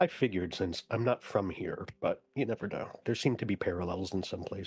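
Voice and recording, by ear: Someone is reading aloud in a natural voice with ordinary pitch variation.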